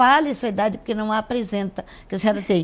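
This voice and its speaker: With a fairly high pitch and ordinary pitch variation, a woman rattles along at a very fast pace. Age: 60s. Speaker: pastor. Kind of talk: interview.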